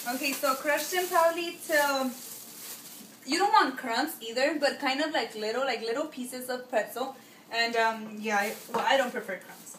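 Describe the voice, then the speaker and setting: A woman with a non-native accent speaks at a high pitch with ordinary pitch variation, with audible room echo and noticeable background noise. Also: moderate pace. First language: Spanish. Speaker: home cook, video creator. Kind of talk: cooking tutorial. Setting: home kitchen. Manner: casual, hesitant with fillers.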